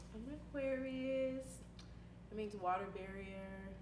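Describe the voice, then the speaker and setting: An American accent from a woman, amid noticeable background noise and audible room echo. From Milwaukee, Wisconsin. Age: 20s. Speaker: college student. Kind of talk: interview. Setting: recorded on a single handheld mic.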